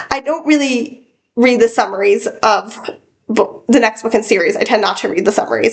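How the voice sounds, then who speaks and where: A woman is talking. Her voice rises and falls in a lively way. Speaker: book vlogger. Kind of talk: casual monologue. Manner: halting, self-correcting.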